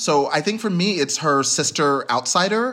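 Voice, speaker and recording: A man speaks in an American accent with lively intonation. His tone is bright and sharp, his pace moderate. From US, North Texas (suburbs north of Dallas). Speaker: writer and poet. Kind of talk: interview.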